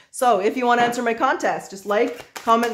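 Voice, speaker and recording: Noticeable background noise sits under speech delivered at a fairly quick pace. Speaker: tarot reader. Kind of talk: tarot reading commentary.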